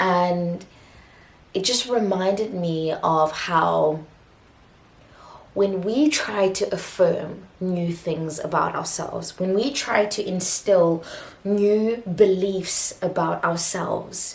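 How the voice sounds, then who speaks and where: A woman with medium pitch and ordinary pitch variation speaks at a very slow pace, with noticeable background noise and audible room echo. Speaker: self-help video host. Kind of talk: spoken motivational monologue. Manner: halting, with frequent restarts.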